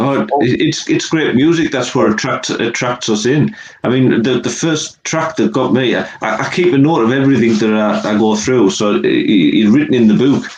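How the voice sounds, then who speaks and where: A man with an English accent speaks with lively intonation amid noticeable background noise. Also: medium pitch for a man, moderate pace. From England. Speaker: music reviewer and co-host. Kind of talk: casual interview chat.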